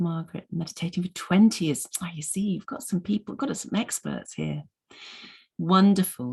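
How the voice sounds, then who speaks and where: This woman's voice carries vocal fry. Her intonation is lively. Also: moderate pace. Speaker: mindfulness teacher. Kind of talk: online presentation. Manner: hesitant, many ums.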